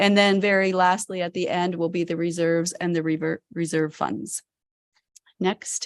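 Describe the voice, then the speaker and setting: Heard with a quiet background and a dry, close sound with no echo, a woman with a Canadian accent speaks with fairly even intonation. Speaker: county finance director. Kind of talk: budget presentation. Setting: council meeting. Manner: fast.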